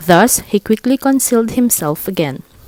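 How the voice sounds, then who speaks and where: A woman with a non-native accent talks with lively intonation. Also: dry, close sound with no echo. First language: not English. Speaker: audiobook reader. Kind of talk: read story.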